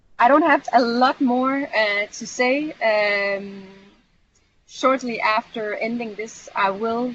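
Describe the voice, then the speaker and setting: The woman's voice is fairly high. Its pitch shows ordinary variation. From Europe. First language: not English. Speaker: community manager / trainer. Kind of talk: online training session. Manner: hesitant, many fillers.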